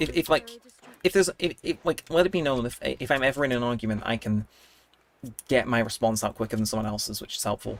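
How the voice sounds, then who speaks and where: A man speaks at a very fast pace. His pitch sits in the medium range. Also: lively intonation. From Britain. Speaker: gaming livestreamer. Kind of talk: casual livestream chat.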